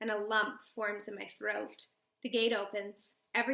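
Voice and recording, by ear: The surroundings are quiet. A text is read aloud in a natural voice.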